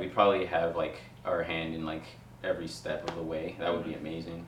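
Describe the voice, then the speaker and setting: A man with an American accent and a very deep, low pitch talks at a fairly quick pace, with big swings in loudness. There is audible room echo and noticeable background noise. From Queens, New York. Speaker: video production company owner. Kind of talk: casual interview chat. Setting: in-person in a living room.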